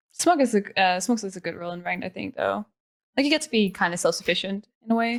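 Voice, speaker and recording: In a Danish accent, a woman of medium pitch talks at a very fast pace with lively intonation and big swings in loudness. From Denmark. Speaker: pro esports player. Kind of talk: casual chat.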